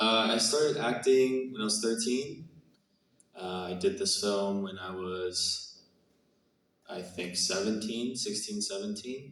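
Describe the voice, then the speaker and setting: A man at a medium pitch, fairly slow in pace, with ordinary pitch variation. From Canada. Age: 20s. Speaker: actor. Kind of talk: Q&A interview. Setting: stage with audience. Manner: hesitant, many fillers.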